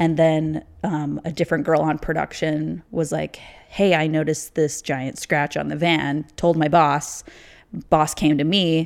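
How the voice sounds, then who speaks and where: A very deep, low female voice with an American accent, flat and monotone, fairly slow, on a very clean recording with a silent background. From US Midwest, Chicago suburbs (Illinois). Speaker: TV production coordinator. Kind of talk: casual chat.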